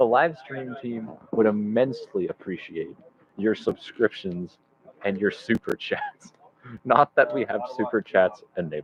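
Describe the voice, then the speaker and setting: The man talks at a fairly slow pace in a dry, close recording with no echo. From Canada. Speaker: livestream commentator. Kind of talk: live commentary.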